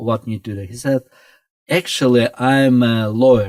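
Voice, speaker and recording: A man of medium pitch with a Russian accent talks at a fairly slow pace and fairly even intonation, the sound dry and close with no echo. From Russia (former Soviet Union). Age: 50s. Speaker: pastor. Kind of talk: podcast interview. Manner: halting, broken English.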